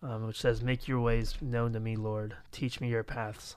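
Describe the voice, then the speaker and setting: Against a silent background on a very clean recording, a man speaks at a moderate pace with an American accent. He has an unremarkable speaking voice of medium pitch and fairly even intonation. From Florida. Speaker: youth pastor, podcast host. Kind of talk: casual chat.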